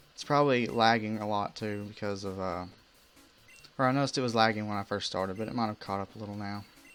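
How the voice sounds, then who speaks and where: A man talks at a very fast pace with an American accent and a fairly low pitch. His intonation stays fairly even while music plays behind him. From US South. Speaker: gamer streamer. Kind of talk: live gameplay commentary. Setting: live stream.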